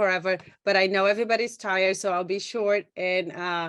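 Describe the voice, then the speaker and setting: With a Brazilian Portuguese accent, a woman speaks against a quiet background. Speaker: doula and photographer. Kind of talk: panel introduction. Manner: halting.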